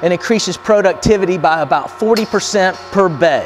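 With light background noise behind him, a man talks at a high pitch with ordinary pitch variation. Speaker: company product demonstrator. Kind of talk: product demonstration. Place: garage.

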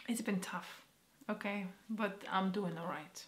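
Amid audible room echo, a woman speaks at medium pitch with ordinary pitch variation. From Poland. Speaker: vlogger. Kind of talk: personal vlog. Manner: halting, emotional.

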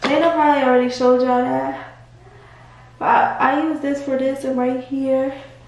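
A woman speaks at a moderate pace in a high, monotone, flat voice. Audible room echo and light background noise are present. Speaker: vlogger. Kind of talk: casual vlog chat. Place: bathroom. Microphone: phone near.

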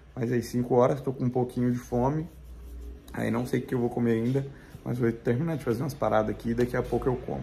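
Over light background noise, a man with a medium pitch, dark, mellow tone and vocal fry talks at a very fast pace with fairly even intonation. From Minas Gerais, Brazil. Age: 30s. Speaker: vegan lifestyle vlogger. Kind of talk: casual vlog talk to camera. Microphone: phone near.

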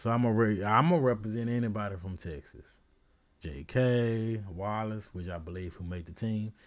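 A man speaks at a fairly low pitch and a moderate pace with ordinary pitch variation. His loudness swings widely over a quiet background. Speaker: sports YouTuber, Ravens fan. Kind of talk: casual solo video commentary. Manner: casual, rambling, filler words.

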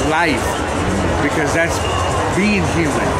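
A man at a moderate pace, music in the background. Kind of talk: interview answer. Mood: reflective, philosophical. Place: hall. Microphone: phone near.

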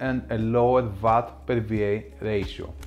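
A man speaks with faint music playing in the background. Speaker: tech reviewer. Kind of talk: product review commentary. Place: home room.

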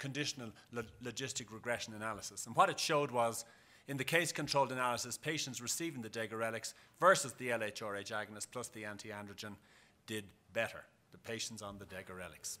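This man speaks at a very fast pace. His tone is bright and sharp, with ordinary pitch variation. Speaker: conference presenter. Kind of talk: lecture. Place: hall.

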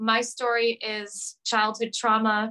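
Against a quiet background, a woman speaks with a bright, sharp tone. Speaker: remote interview guest. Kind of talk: interview answer. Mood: earnest, personal storytelling. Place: home room. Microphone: video call.

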